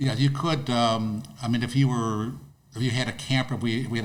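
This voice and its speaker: Audible room echo surrounds a man's speech. He talks at a moderate pace and medium pitch with ordinary pitch variation. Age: 70s. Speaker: disc golf course owner. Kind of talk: podcast interview. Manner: halting, repetitive.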